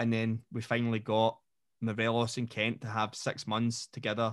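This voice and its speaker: With a Scottish accent, a man speaks at a fairly slow pace. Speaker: football podcast host and coach. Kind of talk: casual chat.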